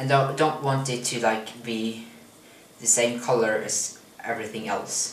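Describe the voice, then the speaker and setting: There is noticeable background noise and audible room echo as a man talks fairly slowly. His medium-pitched voice has a non-native accent and a monotone, flat intonation. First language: not English. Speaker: vlogger. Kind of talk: cooking tutorial vlog. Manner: hesitant, with fillers and repetitions.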